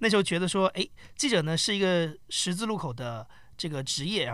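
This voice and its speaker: A man is speaking. He has a plain, everyday voice. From mainland China. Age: 30s. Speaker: podcast company founder. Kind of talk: casual chat.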